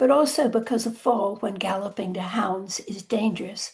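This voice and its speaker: A woman's fairly high, somewhat breathy voice, dark and mellow in tone, at a fairly slow pace with ordinary pitch variation. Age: 80s+. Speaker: author. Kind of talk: talk.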